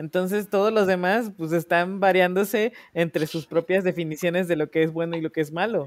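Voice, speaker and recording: The sound is dry and close with no echo as a man talks at a fairly quick pace in a high voice with fairly even intonation. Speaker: podcast co-host. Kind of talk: casual chat.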